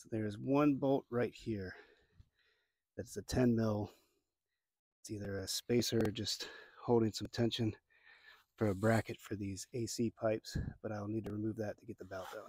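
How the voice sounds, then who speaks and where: Recorded in a dry, close sound with no echo, a man speaks at a medium pitch with an American accent. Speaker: DIY car repair youtuber. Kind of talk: tutorial. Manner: casual, talking to himself while working.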